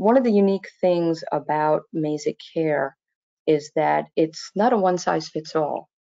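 Using a plain, everyday voice, a woman speaks fairly slowly at a fairly low pitch with ordinary pitch variation. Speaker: webinar moderator. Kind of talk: webinar hosting. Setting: online webinar.

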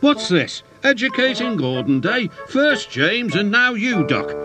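Over faint background music, a man does a put-on character voice that is high in pitch, bright and sharp in tone, with big pitch swings at a fairly slow pace.

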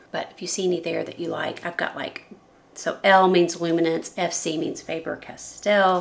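A woman with a fairly low pitch speaks with fairly even intonation, her raspy voice showing vocal fry. The tone is fairly bright, and room echo is audible.

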